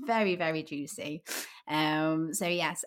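A woman with an English Midlands accent speaks at a very slow pace in a very clean recording with a silent background. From Midlands, England. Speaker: podcast host. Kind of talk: casual chat. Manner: animated.

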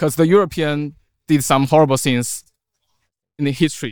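In a Chinese accent, the speaker talks at a fairly quick pace with ordinary pitch variation, in a very clean recording with a silent background and a dry, close sound with no echo. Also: man. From China. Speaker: meetup participant. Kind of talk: casual chat.

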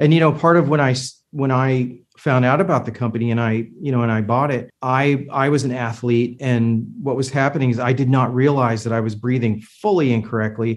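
A man with a normal speaking voice, medium pitch, fairly even intonation, a fairly quick pace and hardly any pauses. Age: 50s. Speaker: medical device company owner. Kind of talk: casual interview.

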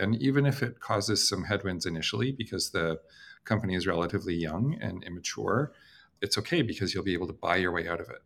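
This man has a normal speaking voice, pitched fairly low, and he talks at a fairly quick pace with lively intonation. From Canada. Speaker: company founder and CEO. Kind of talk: interview. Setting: video call.

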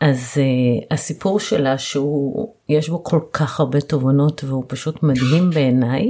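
A dark, mellow tone carries speech at a very slow pace. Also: woman. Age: 40s. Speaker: podcast host, family lawyer. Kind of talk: interview.

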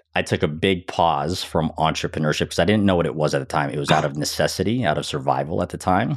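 A man talks at a very fast pace with hardly any pauses. His pitch is very deep and low, with vocal fry. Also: ordinary pitch variation. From Philippines. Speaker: entrepreneur and Marine veteran. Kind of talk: interview.

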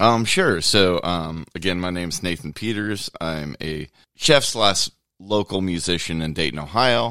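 On a very clean recording with a silent background, a man with a very deep, low pitch speaks fairly slowly in a bright, sharp tone. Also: ordinary pitch variation. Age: 40s. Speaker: chef and local musician. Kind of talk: casual chat.

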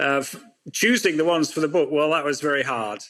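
A man is talking. His accent is British. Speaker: factory owner and author. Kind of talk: casual interview.

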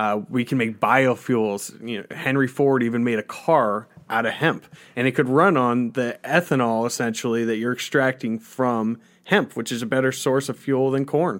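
On a very clean recording with a silent background, a man with an American accent and a normal speaking voice talks at a moderate pace in a medium pitch. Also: ordinary pitch variation. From Colorado. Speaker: cannabis topical product maker, grower, former radio worker. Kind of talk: interview conversation. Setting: studio.

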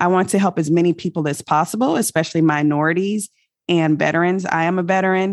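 Fairly quick, fairly low-pitched speech from a woman with an American accent, an unremarkable speaking voice, fairly even intonation, and a dry, close sound with no echo against a quiet background. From military family, mainly Virginia and Germany. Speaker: real estate investor, army veteran. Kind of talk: interview. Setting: remote call from abroad.

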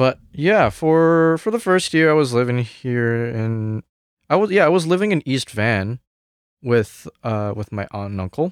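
On a very clean recording with a silent background, a man with a Cantonese accent speaks at a fairly slow pace in a medium pitch. His pitch swings very widely, and the sound is dry and close with no echo. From Hong Kong, then Canada from age nine. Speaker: jazz music student. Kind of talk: casual interview chat.

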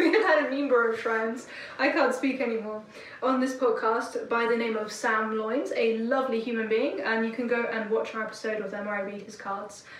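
A woman's fairly high voice at a moderate pace, her intonation fairly even, with noticeable background noise. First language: not English. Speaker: music podcast host. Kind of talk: casual chat.

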